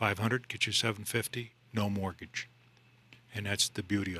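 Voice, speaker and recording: Speaking with a slight upstate New York accent, a man talks at a fairly quick pace and fairly low pitch with fairly even intonation. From upstate New York (Central New York). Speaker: mortgage loan officer. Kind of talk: radio interview.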